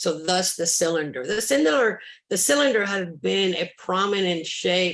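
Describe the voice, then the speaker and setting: With a Spanish accent, a woman at a medium pitch talks at a moderate pace with lively intonation, and room echo is audible. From Cuba. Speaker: sculptor. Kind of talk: interview. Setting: video call. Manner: halting.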